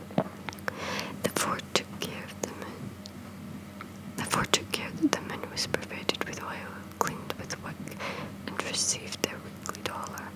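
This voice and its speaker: A woman whispering at a fairly slow pace, with long, frequent pauses, big swings in loudness and noticeable background noise. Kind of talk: whispered ASMR storytime reading. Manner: whispered.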